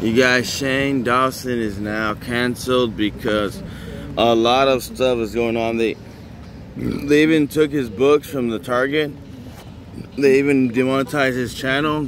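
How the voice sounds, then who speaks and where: A man speaks at a fairly slow pace in a dry sound with no echo, with light background noise. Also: fairly even intonation. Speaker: vlogger. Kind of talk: casual vlog commentary. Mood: disapproving, ranting. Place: street. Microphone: phone near.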